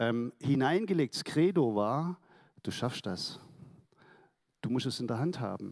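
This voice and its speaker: At a fairly slow pace with long, frequent pauses, the speech carries lively intonation on a very clean recording with a silent background. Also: man, medium pitch for a man. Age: 60s. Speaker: church member giving testimony. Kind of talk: testimony. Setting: church service.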